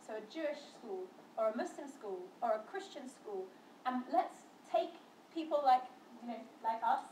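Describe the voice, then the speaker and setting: A woman's voice with lively intonation at a moderate pace, with audible room echo. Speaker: interfaith educator. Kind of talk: talk to students.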